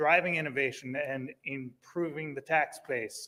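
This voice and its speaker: Pitched fairly high, the man's a plain, everyday voice shows ordinary pitch variation. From US Upper Midwest, Minnesota. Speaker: fish breeder and shop owner. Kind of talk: public comment testimony.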